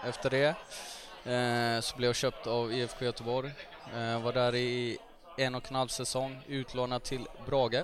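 Noticeable background noise sits behind this man's voice. He speaks at a medium pitch and a fairly slow pace, his intonation flat and monotone. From Gothenburg, Sweden. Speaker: footballer. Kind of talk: casual chat.

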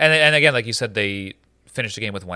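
This man talks at a very fast pace, with lively intonation. His tone is bright and sharp, and the recording is very clean with a silent background. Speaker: podcast host. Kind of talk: casual chat. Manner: halting.

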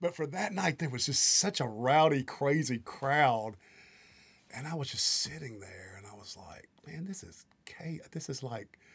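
A man speaks at a fairly slow pace in a fairly high, somewhat breathy voice. His intonation is lively, and his loudness swings widely. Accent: Mississippi. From US South, Mississippi Delta (Greenville, Mississippi). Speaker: songwriter, producer and guitarist. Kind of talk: casual interview. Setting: studio.

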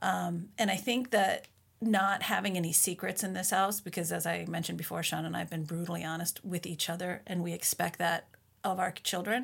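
Fairly quick speech with an American accent, fairly even intonation and vocal fry. The recording is very clean with a silent background. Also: woman, fairly low pitch for a woman. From Minnesota, US. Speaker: author and mother. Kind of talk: interview.

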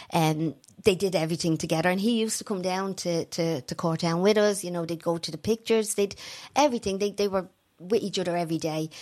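In a Dublin accent, a woman talks very fast at a medium pitch with ordinary pitch variation. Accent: Dublin Irish. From Ireland, Tallaght, Dublin. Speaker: bereaved mother and campaigner. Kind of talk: interview testimony.

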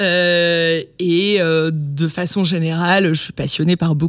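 Her pitch is fairly low. This woman talks with monotone, flat intonation. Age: 20s. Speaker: activist and content creator. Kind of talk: casual interview. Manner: stutters.

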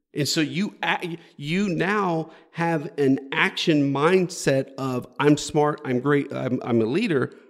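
With an animated tone, a man in an American accent talks at a fairly high pitch and ordinary pitch variation. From Houston, Texas. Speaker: company CEO and author. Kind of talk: podcast interview. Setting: early-morning recording. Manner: animated, repeats words at phrase starts.

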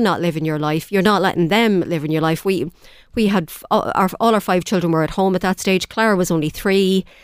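This woman has an Irish accent and a fairly low pitch. She talks at a fairly quick pace on a very clean recording with a silent background. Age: 50s. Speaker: community volunteer. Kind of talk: radio interview. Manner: halting, repeats words.

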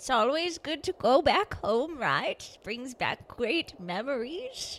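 A female-sounding, put-on character voice, high-pitched for a woman, moves at a fairly slow pace. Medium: actual play. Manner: folksy, grandmotherly, teasing.

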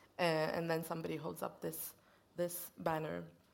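Room echo can be heard. The woman talks fairly slowly. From Sweden. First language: Swedish. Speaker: poet and interviewer. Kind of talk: onstage literary conversation. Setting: stage with audience.

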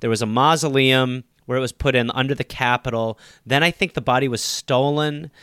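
Fairly quick speech from a man with an American accent, bright and sharp in tone, with fairly even intonation, dry and close with no echo, on a very clean recording with a silent background. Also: medium pitch for a man. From US Midwest, Wisconsin. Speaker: comedian and podcaster. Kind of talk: casual chat.

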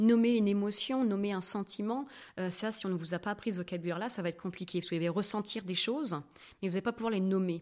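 A woman at medium pitch, talking at a very fast pace with ordinary pitch variation. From France, Normandy. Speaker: sexologist. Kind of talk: podcast interview. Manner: lively.

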